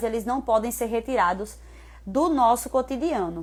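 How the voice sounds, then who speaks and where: A woman with an ordinary speaking voice and a fairly high pitch talks at a moderate pace on a very clean recording with a silent background. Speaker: personal trainer. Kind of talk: live stream talk.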